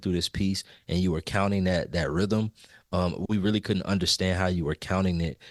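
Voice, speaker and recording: Recorded dry and close with no echo, in a very clean recording with a silent background, a man with a plain, everyday voice speaks at fairly low pitch and a moderate pace with ordinary pitch variation. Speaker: music educator podcast co-host. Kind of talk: casual podcast discussion.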